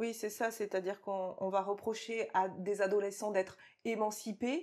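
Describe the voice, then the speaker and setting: Her pitch sits in the middle range and her intonation stays fairly even as this woman, with an unremarkable speaking voice, talks at a moderate pace. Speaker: interviewer at an agency studio.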